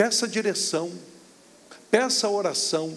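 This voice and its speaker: Very slow delivery with lively intonation and audible room echo. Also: man. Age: 60s. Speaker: pastor. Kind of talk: sermon. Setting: church.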